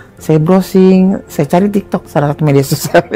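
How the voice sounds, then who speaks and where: Noticeable background noise sits behind the recording. A woman talks at a very fast pace. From Indonesia, Bogor (West Java). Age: 60s. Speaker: patient. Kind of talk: patient testimony. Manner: casual, conversational.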